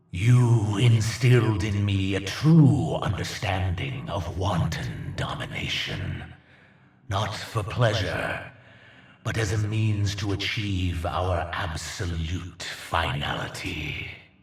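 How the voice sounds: A man does a put-on character voice, low in pitch and full of vocal fry. He speaks slowly with lively intonation.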